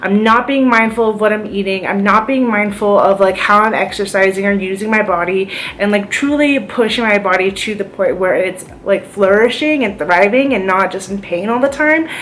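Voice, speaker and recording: A woman with hardly any pauses, amid audible room echo and noticeable background noise. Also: medium pitch for a woman, ordinary pitch variation. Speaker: vlogger sharing chronic illness experience. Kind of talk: casual vlog monologue. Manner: fast; hesitant with many fillers.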